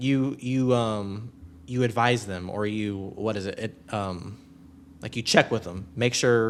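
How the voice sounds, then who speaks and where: A man talks at a fairly slow pace and a medium pitch. The recording is very clean, with a silent background. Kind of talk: live debate stream chat. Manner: loud; animated.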